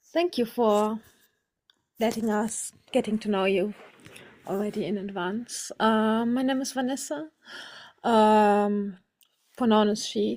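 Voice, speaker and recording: With a German accent, a woman speaks at a very slow pace in a fairly high pitch, using ordinary pitch variation and long, frequent pauses. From Germany, near French border. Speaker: workshop participant. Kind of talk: self-introduction in group video call. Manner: halting.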